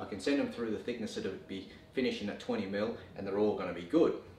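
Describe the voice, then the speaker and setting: A man's voice is heard with light background noise and audible echo from the room. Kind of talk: tutorial. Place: workshop.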